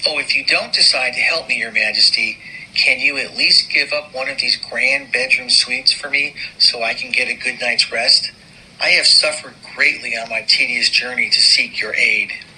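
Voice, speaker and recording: Here a man uses a put-on character voice. He keeps a moderate pace. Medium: audio drama.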